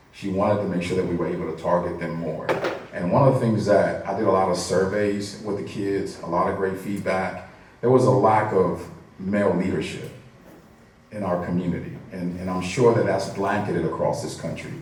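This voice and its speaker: Over noticeable background noise and audible room echo, a man talks at a fairly quick pace in a very deep, low pitch with ordinary pitch variation. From Dominican Republic, then Miami, Florida (Liberty City). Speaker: youth program leader, panelist. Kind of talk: panel discussion.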